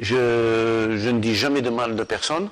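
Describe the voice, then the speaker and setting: This man talks at a medium pitch. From Algeria, Sétif region. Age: 60s. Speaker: football coach. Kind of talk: interview. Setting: club headquarters at the stadium. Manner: halting, many repetitions and hesitations.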